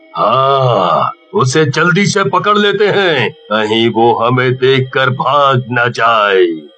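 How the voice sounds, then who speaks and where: A cartoonish character voice at a very slow pace, with hardly any pauses. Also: man, medium pitch for a man. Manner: menacing, gloating.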